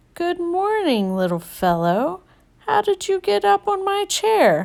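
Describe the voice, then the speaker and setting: A woman puts on a squeaky character voice with an extremely high pitch, speaking at a fairly slow pace. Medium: read story. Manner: warm, folksy.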